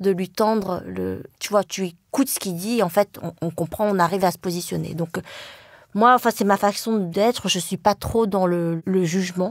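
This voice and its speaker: This woman talks at a moderate pace with a medium pitch and ordinary pitch variation. The sound is dry and close, with no echo. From France, Le Mans (Sarthe). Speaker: journalist and writer. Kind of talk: interview conversation. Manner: hesitant, many fillers.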